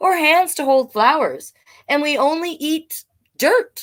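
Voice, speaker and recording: A put-on character voice from a woman, extremely high in pitch and delivered fairly slowly. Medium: read story.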